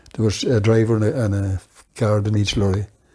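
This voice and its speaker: In a Northern Irish accent, a man with a fairly low pitch speaks at a moderate pace. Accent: Fermanagh Northern Irish. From Northern Ireland, Fermanagh border. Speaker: oral history interviewee. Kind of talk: reminiscence interview. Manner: halting.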